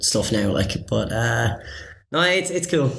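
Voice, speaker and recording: A man with a Cork accent at a moderate pace, with audible room echo. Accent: Cork Irish. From Ireland, Cork. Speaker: master's student. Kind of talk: casual chat. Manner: halting, many fillers.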